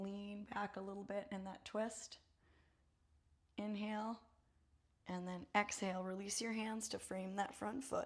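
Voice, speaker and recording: Somewhat breathy, a woman speaks at a fairly slow pace. Her medium pitch holds a monotone, flat intonation. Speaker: yoga instructor. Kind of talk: guided yoga class instruction. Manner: calm, encouraging cueing.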